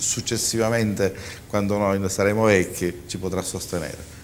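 Over light background noise, a man with a very deep, low pitch talks at a moderate pace. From Sicily. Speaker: entrepreneur and publisher; guest. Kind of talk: studio panel discussion. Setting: TV studio. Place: studio. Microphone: lapel.

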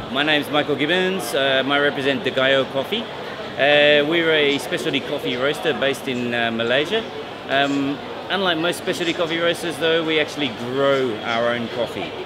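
With clear background noise, the man's pitch shifts in an ordinary way at a moderate speed. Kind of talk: interview answer. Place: hall.

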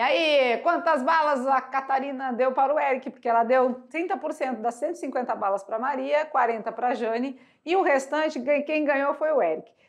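A woman's high voice, animated in tone, at a fairly slow pace. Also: ordinary pitch variation. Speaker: math teacher. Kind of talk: lecture.

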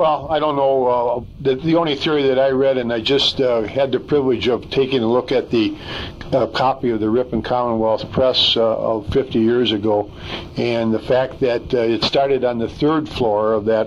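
A man speaks at a moderate pace with fairly even intonation over light background noise. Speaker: interviewee. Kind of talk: interview answer. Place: studio.

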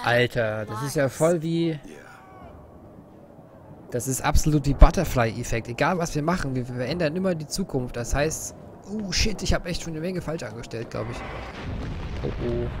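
At a moderate pace, a man talks with lively intonation, big swings in loudness and long, frequent pauses, with noticeable background noise behind him. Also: dry sound with no echo. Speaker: game streamer. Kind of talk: gameplay commentary. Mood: amused, excited reactions. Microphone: studio mic.

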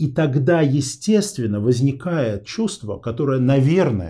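With a dark, mellow tone and a somewhat breathy sound, a man speaks very slowly with lively intonation against a quiet background. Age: 40s. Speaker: interview show host; interview host. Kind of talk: interview.

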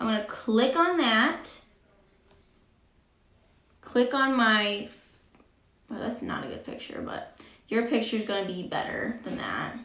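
Audible room echo surrounds a woman speaking at a fairly slow pace with long, frequent pauses. Her pitch varies in an ordinary way, while her loudness swings widely. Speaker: teacher. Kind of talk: tutorial. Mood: light, friendly. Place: home room.

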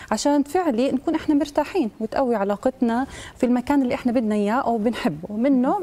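A woman talks at a very fast pace in a high pitch with lively intonation. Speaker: guest. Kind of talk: interview answer. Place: studio.

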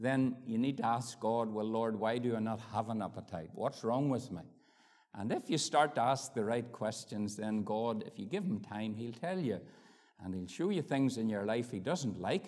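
The man speaks at a moderate pace. His pitch shows ordinary variation. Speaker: preacher. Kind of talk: sermon. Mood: warm, grateful. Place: church. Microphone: lapel.

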